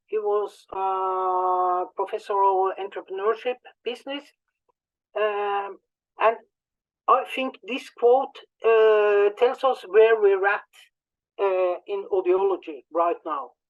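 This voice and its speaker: Woman at a medium pitch with ordinary pitch variation, a very slow pace and long, frequent pauses. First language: not English. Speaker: conference speaker in audiology. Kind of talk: conference presentation. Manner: halting, many fillers and repetitions.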